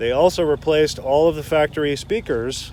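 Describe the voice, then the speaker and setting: A man speaks at a moderate pace with a fairly high pitch and ordinary pitch variation. He has an ordinary speaking voice. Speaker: car seller and video reviewer. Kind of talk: car walkaround video.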